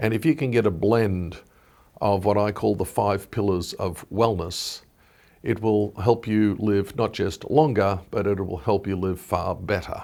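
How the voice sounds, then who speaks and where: On a very clean recording with a silent background, a man speaks in an Australian accent at a fairly low pitch. His pace is fairly slow, and his pitch varies in an ordinary way. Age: 60s. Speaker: wellness entrepreneur. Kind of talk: interview.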